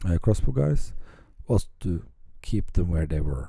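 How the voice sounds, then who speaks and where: In a Norwegian accent, the voice carries a dark, mellow tone and ordinary pitch variation. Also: man. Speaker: tabletop wargame hobbyist. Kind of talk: battle report commentary. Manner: halting, many fillers.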